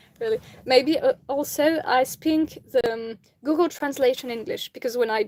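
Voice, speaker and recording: In a very clean recording with a silent background and a dry, close sound with no echo, a woman with a French accent talks at a fairly slow pace with ordinary pitch variation. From France. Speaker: amateur reader of philosophy. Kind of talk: reading aloud; casual chat.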